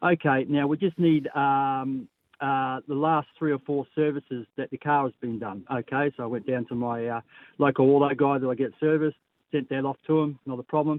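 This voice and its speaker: With an Australian accent, a woman speaks at a moderate pace in a very deep, low pitch with fairly even intonation. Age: 60s. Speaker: caller. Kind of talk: call-in story.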